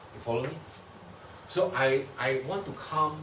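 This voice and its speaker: A man's voice with ordinary pitch variation, light background noise and audible room echo. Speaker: bible class teacher. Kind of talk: lecture. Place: classroom. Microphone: camera far.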